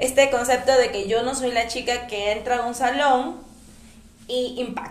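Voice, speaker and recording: Over noticeable background noise and audible room echo, a woman with a high pitch speaks at a fairly slow pace. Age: 20s. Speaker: podcast host. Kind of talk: casual chat. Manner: animated.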